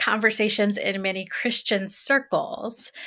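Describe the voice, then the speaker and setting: Speaking at a fairly slow pace with an American accent, a woman has a bright, sharp tone and a fairly high pitch. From US Midwest, Greenfield, Indiana. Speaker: theology professor. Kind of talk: interview conversation.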